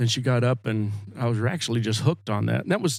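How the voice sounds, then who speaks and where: A man with an American accent uses an unremarkable speaking voice at medium pitch, a fairly quick pace and ordinary pitch variation. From Oklahoma. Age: 60s. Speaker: singer-songwriter. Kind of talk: casual chat.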